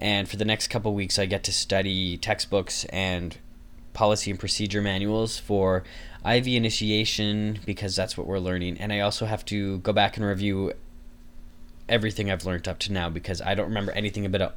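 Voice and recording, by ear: At a moderate pace, a man speaks with a fairly bright tone, fairly low pitch and little pitch movement.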